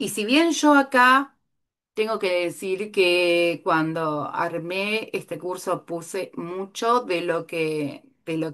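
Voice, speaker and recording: A woman speaks at a medium pitch with lively intonation against a quiet background. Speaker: art therapy teacher. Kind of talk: lecture. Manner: animated.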